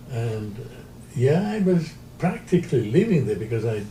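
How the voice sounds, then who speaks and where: A man speaks at a fairly slow pace with ordinary pitch variation, and audible room echo surrounds his voice. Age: 90s. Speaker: interviewee, retired pilot and sailor. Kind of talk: interview. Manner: halting.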